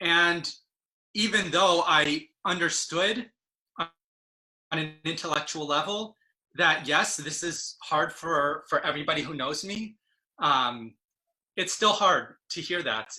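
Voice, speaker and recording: Delivery is very slow, with long, frequent pauses and ordinary pitch variation. The tone is bright and sharp. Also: man, fairly high pitch for a man. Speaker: Yiddish teacher, activist and poet. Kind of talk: personal talk to an online audience.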